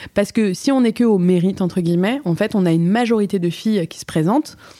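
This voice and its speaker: A woman with a dark, mellow tone talks at a fairly quick pace, her medium pitch moving with lively intonation. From Switzerland. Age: 40s. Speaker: actress and stage director. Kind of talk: interview. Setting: café.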